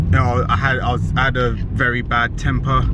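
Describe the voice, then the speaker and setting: A man's voice, dry and echo-free, over loud background noise. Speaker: fitness vlogger. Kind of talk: casual vlog chat. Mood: reflective, relaxed. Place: car. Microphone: phone near.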